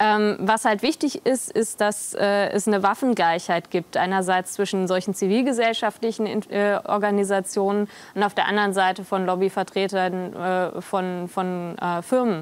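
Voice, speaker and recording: The woman keeps a very even loudness and fairly even intonation. Her pace is moderate. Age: 20s. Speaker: politician. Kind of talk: interview. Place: studio. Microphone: lapel.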